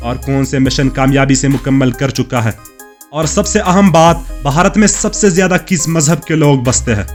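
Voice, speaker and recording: Music plays in the background as a man speaks. His voice is fairly high, with ordinary pitch variation. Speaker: documentary voice-over narrator. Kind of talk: travel documentary narration.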